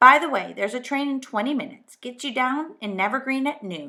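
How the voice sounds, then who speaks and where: In a put-on character voice, a woman speaks gruffly at a high pitch, raised and projected. Her pace is fairly quick, and the recording is very clean with a silent background. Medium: read story. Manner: muttering, gruff.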